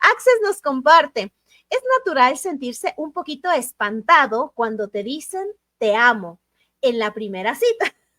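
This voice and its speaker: Speaking fairly slowly in a raised, projected voice, a woman with a high pitch and a bright, sharp tone swings very widely in pitch, the sound dry and close with no echo. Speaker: book club host. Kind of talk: live stream chat.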